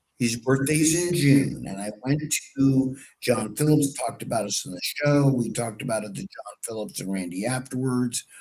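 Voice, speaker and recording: Somewhat breathy, a man at a medium pitch speaks at a moderate pace with lively intonation and big swings in loudness. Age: 60s. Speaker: political talk show host. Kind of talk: casual political talk.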